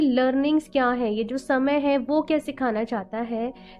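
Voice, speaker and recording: Woman's high voice, fairly slow, with ordinary pitch variation. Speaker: tarot card reader. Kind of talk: tarot reading to camera. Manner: casual Hindi-English code-switching.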